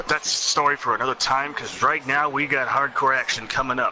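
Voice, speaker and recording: Noticeable background noise behind a man speaking at medium pitch. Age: 20s. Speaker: wrestling game commentator. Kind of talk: live commentary.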